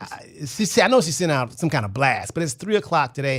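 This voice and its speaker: A man uses a normal speaking voice. He talks at a moderate pace with lively intonation. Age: 60s. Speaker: radio host, financial planner. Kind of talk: radio talk show. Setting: radio studio.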